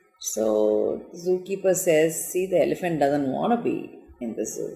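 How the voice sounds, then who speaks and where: A woman speaking over background music. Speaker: entrepreneur and talk host. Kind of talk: storytelling talk. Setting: Instagram live stream.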